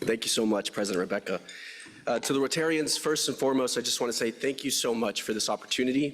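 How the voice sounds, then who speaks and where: With ordinary pitch variation, a man races along at a very fast pace. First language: Spanish. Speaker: AI strategist, new club member. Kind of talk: short self-introduction speech. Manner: hesitant, with filler words.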